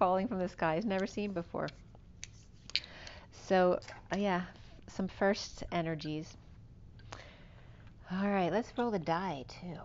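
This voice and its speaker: A woman talks at a fairly slow pace with fairly even intonation. Long, frequent pauses break up her speech, and light background noise sits behind it. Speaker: tarot reader. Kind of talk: casual spiritual reading chat. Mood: warm, relaxed. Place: home room. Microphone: camera far.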